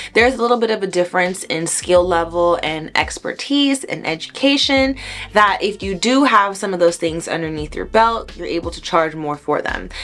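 With an American accent, a woman talks at a moderate pace with hardly any pauses, lively intonation and big swings in loudness. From US South, Miami, Florida; Florida. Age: 20s. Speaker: hair braider; hair educator. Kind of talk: tutorial. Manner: conversational.

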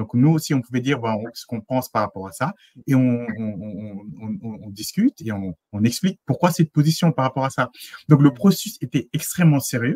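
The voice is somewhat breathy with a dark, mellow tone, lively intonation and big swings in loudness at a moderate pace. The sound is dry with no echo over a quiet background. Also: man, medium pitch for a man. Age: 30s. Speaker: engineer and consultant; interview guest. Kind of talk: interview testimony. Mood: relaxed, smiling. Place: home room.

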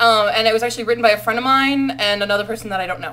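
Her tone bright and sharp, a woman speaks with ordinary pitch variation. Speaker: university student. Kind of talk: casual vlog talk to camera. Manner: fast. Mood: playful, amused. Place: home room. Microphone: webcam.

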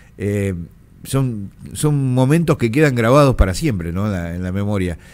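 Speaking at a fairly slow pace, a man with a fairly low pitch uses lively intonation. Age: 50s. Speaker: radio host. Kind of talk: radio interview. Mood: reflective, emotional memory. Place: studio. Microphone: studio mic.

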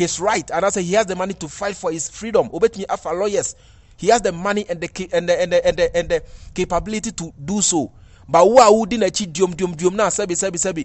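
With a Ghanaian accent, a man talks at a fairly quick pace in a high voice with ordinary pitch variation. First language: Twi. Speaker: entertainment commentator. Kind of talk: video commentary.

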